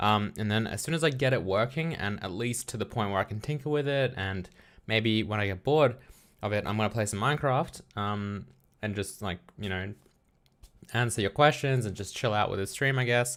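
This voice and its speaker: Speaking with an Australian accent, a man with a fairly low pitch talks at a fairly quick pace with ordinary pitch variation, recorded very cleanly against a silent background. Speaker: programming streamer. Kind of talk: casual live stream chat. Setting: live stream at home. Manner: relaxed, halting with fillers.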